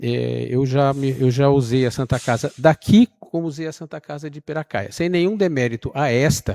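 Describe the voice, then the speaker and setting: A man's dark, mellow voice, fairly high in pitch, with ordinary pitch variation, big swings in loudness, a moderate pace, hardly any pauses, and a dry, close sound without echo. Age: 70s. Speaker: resident speaking at public hearing. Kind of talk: public hearing comment. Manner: halting, with repetitions.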